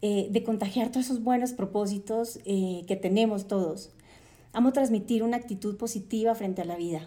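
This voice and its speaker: A woman with a dark, mellow tone speaks at medium pitch and a moderate pace, her intonation fairly even. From Colombia, Cartagena (Caribbean coast). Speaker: podcast host, journalist and entrepreneur. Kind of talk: podcast monologue. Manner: hesitant, many fillers.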